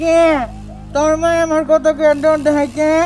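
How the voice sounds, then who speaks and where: In a cartoonish character voice pitched high, the speaker talks at a moderate pace over clear background noise. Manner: rustic dialect, teasing.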